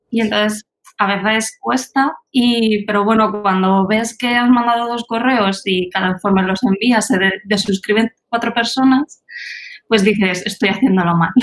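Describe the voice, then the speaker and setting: Her delivery is fairly slow, with a plain, everyday voice pitched fairly high for a woman and fairly even intonation. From Spain, Albacete. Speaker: teacher and startup founder. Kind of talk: interview.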